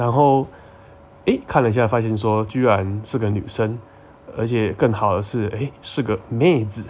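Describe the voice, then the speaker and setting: Here a man uses a normal speaking voice at medium pitch, talking at a fairly slow pace with fairly even intonation. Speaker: podcast host. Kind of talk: casual monologue.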